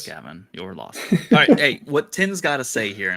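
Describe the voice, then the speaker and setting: A man with an American accent speaks at a moderate pace with vocal fry. His tone is bright and sharp, with very wide pitch swings. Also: fairly high pitch for a man. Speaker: sports podcast host.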